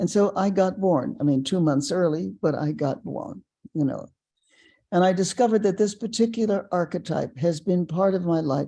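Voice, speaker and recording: Dark, mellow tone from a woman at a fairly low pitch, with lively intonation, a moderate pace and a quiet background. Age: 80s+. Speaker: personal development teacher and author. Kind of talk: casual chat. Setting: webinar.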